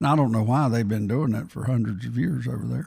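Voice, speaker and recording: On a very clean recording with a silent background, a man talks at a medium pitch, somewhat breathy, with lively intonation. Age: 70s. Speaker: talk show co-host. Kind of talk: casual chat. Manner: halting.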